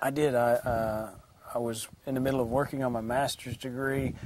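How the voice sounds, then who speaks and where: A man talks in a medium-pitched voice, with a good deal of background noise audible. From Tennessee. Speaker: auctioneer. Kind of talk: interview answer.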